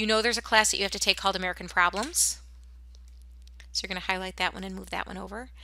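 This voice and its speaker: A woman is heard on a very clean recording with a silent background. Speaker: school counselor or staff. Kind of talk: tutorial. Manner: fast.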